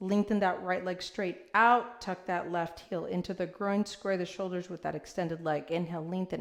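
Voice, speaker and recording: A woman speaks at a moderate pace and medium pitch. She has a normal speaking voice. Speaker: yoga instructor. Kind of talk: guided yoga class.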